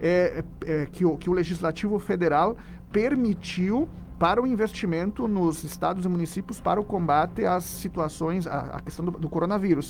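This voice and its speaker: With a Rio Grande do Sul accent, a man talks at a moderate pace in a high pitch. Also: ordinary pitch variation. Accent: southern Brazilian (gaúcho) accent, kept. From southern Brazil, Rio Grande do Sul. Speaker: philosophy professor. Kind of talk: radio interview.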